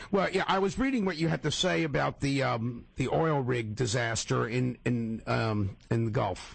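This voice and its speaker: A man with an American accent at medium pitch, very wide pitch swings, very even loudness, a somewhat breathy sound, a moderate pace and hardly any pauses. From northern New Jersey, Paterson area. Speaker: radio talk show host. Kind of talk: radio interview.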